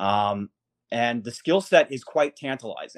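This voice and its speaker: A man with a plain, everyday voice talks at a medium pitch and a moderate pace. The sound is dry and close with no echo, in a very clean recording with a silent background. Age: 30s. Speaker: hockey writer. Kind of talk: casual chat.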